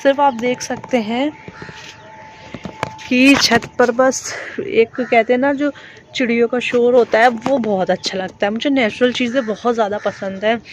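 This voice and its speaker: Noticeable background noise sits behind a woman with a high pitch. She talks at a fairly slow pace with ordinary pitch variation. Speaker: vlogger. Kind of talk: casual vlog talk to camera. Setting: outdoors on rooftop.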